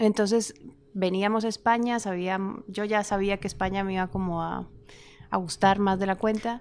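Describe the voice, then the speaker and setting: This woman's voice sits at a medium pitch and moves at a moderate pace. Her intonation stays monotone and flat. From Costa Rica. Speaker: writer and actress. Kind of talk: interview conversation.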